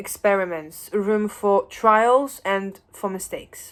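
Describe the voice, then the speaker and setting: This very clean recording with a silent background features a woman with a Polish accent. Her fairly high voice moves at a fairly slow pace with ordinary pitch variation. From Poland. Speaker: educator. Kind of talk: lecture. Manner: halting.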